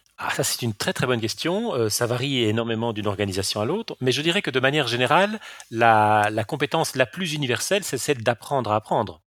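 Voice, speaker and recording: Talking at a very fast pace, a man uses lively intonation at a medium pitch. The recording is very clean, silent behind him, dry and close with no echo. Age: 50s. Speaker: e-learning company CEO, former philosophy lecturer. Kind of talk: interview. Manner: frequent repetitions and hesitations.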